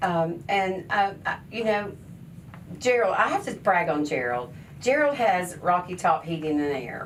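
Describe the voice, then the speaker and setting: A woman speaks at a fairly low pitch and a fairly slow pace, her pitch swinging very widely. Audible room echo and noticeable background noise surround her. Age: 60s. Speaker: charity founder and hairstylist. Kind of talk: radio talk show interview. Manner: animated.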